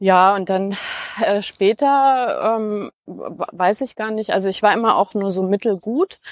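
The speech moves at a very slow pace. The sound is dry and close, with no echo. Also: woman, medium pitch for a woman, ordinary pitch variation. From Franconia, Germany (near Nuremberg). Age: 40s. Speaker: podcast guest. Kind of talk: casual conversation. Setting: outdoors, walking in a park. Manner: many filler sounds (äh).

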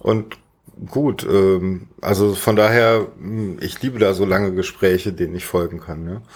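At a fairly slow pace and with fairly even intonation, a normal speaking voice comes through a very clean recording with a silent background. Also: man, fairly low pitch for a man. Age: 40s. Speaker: podcast host and streamer. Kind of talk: casual chat.

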